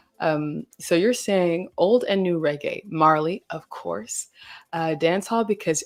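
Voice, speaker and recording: An ordinary speaking voice from a woman with an American accent, medium pitch and a fairly slow pace, on a very clean recording with a silent background. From US South. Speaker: livestream host. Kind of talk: casual chat. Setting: livestream. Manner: casual, filler-heavy.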